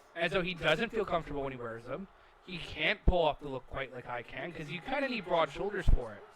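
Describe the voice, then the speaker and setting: Over noticeable background noise, a man with a fairly high pitch speaks at a fairly quick pace, with very wide pitch swings and big swings in loudness. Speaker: video game commentator. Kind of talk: casual chat. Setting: online voice call.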